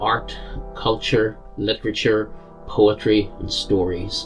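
Over clear background music, a man speaks at a fairly slow pace with a fairly low pitch. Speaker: local history presenter. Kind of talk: casual talk to camera. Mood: calm, measured storytelling. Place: home room.

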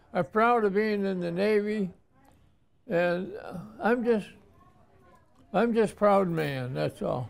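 A man with an American accent talks at a high pitch and a very slow pace, leaving long, frequent pauses. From Watertown, New York. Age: 90s. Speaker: Navy veteran. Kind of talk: interview answer. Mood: reflective, proud, nostalgic. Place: home room.

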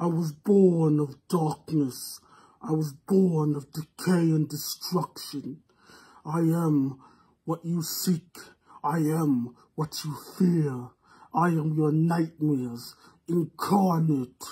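In a put-on character voice at a middle pitch, the speaker goes very slowly, with long, frequent pauses. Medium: voice reel. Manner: menacing, slow.

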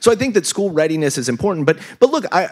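A man with an American accent and lively intonation, against a quiet background. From US Midwest, Kansas City, Missouri; Missouri. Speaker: education researcher and author; panelist. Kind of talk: panel discussion. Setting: stage with live audience. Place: stage. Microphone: handheld.

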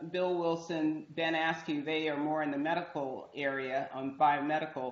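With an American accent, a woman speaks at a fairly low pitch amid audible room echo. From outside the US. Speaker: university dean. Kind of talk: moderated panel discussion. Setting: video call. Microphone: video call.

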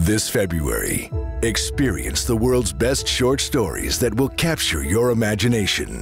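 With music in the background, a man with a fairly low pitch speaks at a fairly slow pace, swinging very widely in pitch while holding his loudness very even. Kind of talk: movie trailer.

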